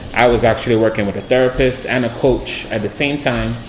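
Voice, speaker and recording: A man's voice carries audible room echo, with music playing in the background. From Trinidad. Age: 30s. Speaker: mindset and wellness coach. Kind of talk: casual interview chat.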